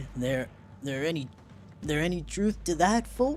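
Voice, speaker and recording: The speaker uses a put-on character voice. The pitch sits in the low-to-middle range. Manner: jolly, scheming for free liquor.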